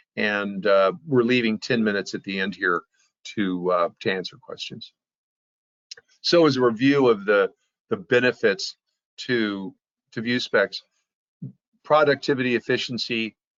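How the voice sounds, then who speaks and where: A man's medium-pitched voice with ordinary pitch variation at a moderate pace, broken by long, frequent pauses. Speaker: software company presenter. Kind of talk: webinar presentation.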